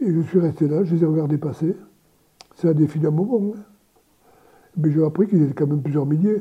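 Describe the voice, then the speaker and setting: A man's fairly high voice with a dark, mellow tone, ordinary pitch variation, a very fast pace and long, frequent pauses. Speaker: retired general, war veteran. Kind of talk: testimony. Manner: halting.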